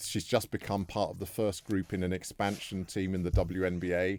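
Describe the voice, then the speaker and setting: In a very clean recording with a silent background, a man speaks at a moderate pace. He has a British accent and a very deep, low pitch, with monotone, flat intonation. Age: 60s. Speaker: former sports federation chair. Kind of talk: heated debate.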